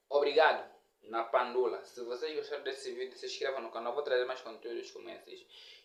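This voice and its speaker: A man at a fairly quick pace, with big swings in loudness and audible room echo. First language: Nyaneka (speaking Portuguese). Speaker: comedian and YouTuber. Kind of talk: casual language lesson vlog.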